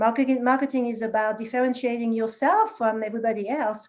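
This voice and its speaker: Speaking at a very fast pace with a French accent, a woman uses a fairly high pitch and fairly even intonation. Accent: French accent, still noticeable. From France, small town. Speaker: marketing executive. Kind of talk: interview conversation.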